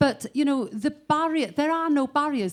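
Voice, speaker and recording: A woman speaks with a north Welsh accent. Her pace is moderate. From north Wales, Bethesda. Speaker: musician. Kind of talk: panel discussion.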